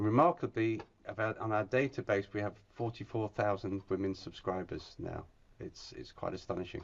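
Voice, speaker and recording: A man speaks at a fairly quick pace with a fairly low pitch. His voice is somewhat breathy, with ordinary pitch variation. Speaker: industry speaker. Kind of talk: webinar presentation. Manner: hurried.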